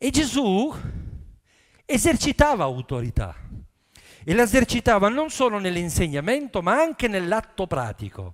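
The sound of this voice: A man speaks at a high pitch and a moderate pace. His pitch swings very widely.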